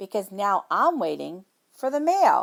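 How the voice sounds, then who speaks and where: Someone uses a put-on character voice with a gentle tone at a moderate pace. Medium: read story. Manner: gentle, patient.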